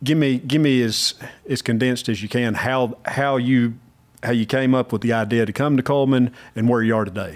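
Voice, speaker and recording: Using an ordinary speaking voice at medium pitch, a man talks at a fairly quick pace with fairly even intonation. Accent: American. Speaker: podcast host. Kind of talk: casual interview conversation.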